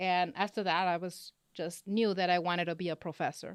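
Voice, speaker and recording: With a slight Spanish accent, a woman of medium pitch talks at a moderate pace, the sound dry and close with no echo and the recording very clean with a silent background. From Los Angeles, California, Mexican-Honduran family. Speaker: business professor. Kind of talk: interview.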